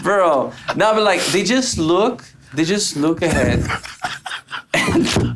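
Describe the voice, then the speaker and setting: With audible room echo and noticeable background noise, a man talks very slowly in a high pitch, with lively intonation, very even loudness and long, frequent pauses. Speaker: podcast co-host. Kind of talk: casual chat. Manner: halting.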